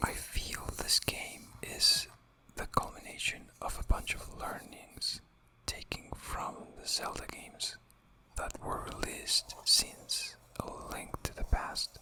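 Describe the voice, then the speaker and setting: Someone whispers in a calm tone at a very slow pace. Noticeable background noise is present. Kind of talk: ASMR video game review. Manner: whispered; soft-spoken, calm.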